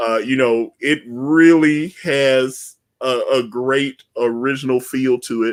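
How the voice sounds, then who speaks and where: Talking at a very slow pace, a man with a Southern US accent keeps his intonation fairly even. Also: medium pitch for a man. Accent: Southern twang. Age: 40s. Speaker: comic book creator and livestream host. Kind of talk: casual interview chat. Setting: live stream.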